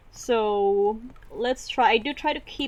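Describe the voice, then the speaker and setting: This woman has a fairly high pitch and a non-native accent. Her pitch varies in an ordinary way. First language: not English. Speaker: vtuber artist playing a drawing game. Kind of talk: casual let's play commentary. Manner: rambling, hesitant with many fillers.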